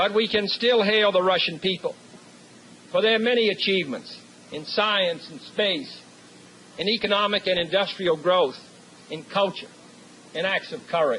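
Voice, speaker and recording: A man speaks in a raised, projected voice with a high pitch and ordinary pitch variation, over noticeable background noise. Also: fairly slow pace. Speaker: U.S. president giving a commencement address. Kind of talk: formal commencement speech. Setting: podium speech to a live audience, 1963 recording. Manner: measured, oratorical.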